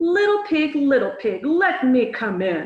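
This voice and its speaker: Putting on a growling character voice, a woman with a high pitch speaks at a fairly slow pace with very wide pitch swings and a slight echo. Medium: read story. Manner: menacing.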